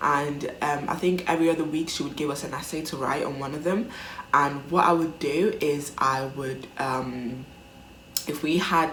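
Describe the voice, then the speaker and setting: A woman speaks at a moderate pace with a very deep, low pitch and fairly even intonation. Noticeable background noise and audible room echo fill the recording. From Italy. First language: Italian. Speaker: vlogger. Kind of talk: casual chat. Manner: hesitant, many fillers.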